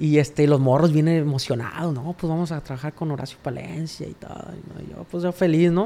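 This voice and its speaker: Speaking at a fairly quick pace, a man has a fairly high pitch and a dark, mellow tone. His intonation is fairly even, but his loudness swings widely. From Mexico, Sinaloa. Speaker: songwriter and singer. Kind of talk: casual interview chat. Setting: his apartment studio.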